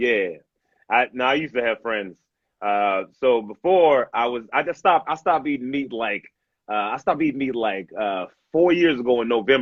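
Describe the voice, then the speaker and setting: At a moderate pace, a man talks in a medium pitch with lively intonation. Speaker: stand-up comedian. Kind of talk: casual chat. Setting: video call. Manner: loud; hyper, energetic.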